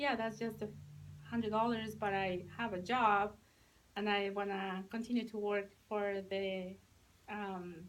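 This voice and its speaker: A woman at a medium pitch, fairly slow and monotone with flat intonation, with long, frequent pauses. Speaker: sales director. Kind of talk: testimony. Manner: halting, with many fillers.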